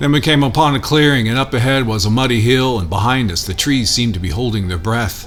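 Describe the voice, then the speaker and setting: A man speaks at a very fast pace with lively intonation and a medium pitch. Music plays in the background. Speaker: spoken word poet. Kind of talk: poetry reading.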